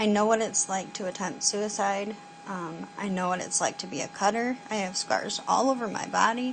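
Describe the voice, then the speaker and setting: Against noticeable background noise, a woman talks at a moderate pace and medium pitch with ordinary pitch variation. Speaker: vlogger. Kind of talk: personal video message. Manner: hesitant, many fillers.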